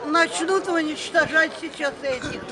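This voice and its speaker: Loud background noise sits behind a woman who speaks at a very slow pace. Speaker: elderly passerby in a street argument. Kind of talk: street argument. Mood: agitated, lecturing. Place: street. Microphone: phone near.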